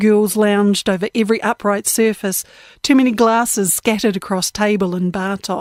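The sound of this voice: The reading voice is unforced. Its intonation is fairly even.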